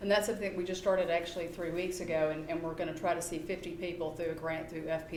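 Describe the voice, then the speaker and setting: A woman in a Southern US accent speaks with a fairly low pitch and fairly even intonation, with audible room echo and noticeable background noise. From US South. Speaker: psychology researcher. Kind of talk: public talk.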